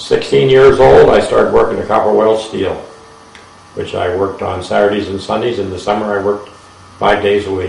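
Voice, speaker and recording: A man with an Ohio accent speaks at a fairly quick pace. The room echo is audible and there is noticeable background noise. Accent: Midwestern American (Ohio). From northeast Ohio (Champion, near Warren). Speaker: war veteran. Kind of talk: oral history interview.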